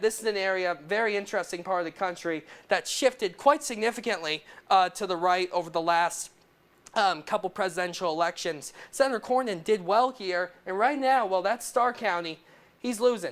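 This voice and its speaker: Here a man with a high pitch talks at a moderate pace, with ordinary pitch variation. The recording is very clean, with a silent background. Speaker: television political reporter. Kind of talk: TV news package narration.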